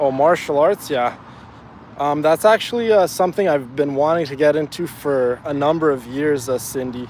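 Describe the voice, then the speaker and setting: A man's fairly high-pitched voice at a moderate pace, with ordinary pitch variation and noticeable background noise. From Afghanistan. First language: Farsi. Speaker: fitness streamer. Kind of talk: live stream chat. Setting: outdoors, walking in neighborhood. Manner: halting, many fillers.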